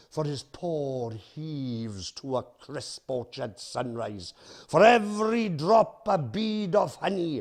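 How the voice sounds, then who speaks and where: With a Welsh accent, a man speaks at a very slow pace and fairly high pitch. His voice swings very widely in pitch and greatly in loudness. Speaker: performance poet. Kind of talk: poetry reading.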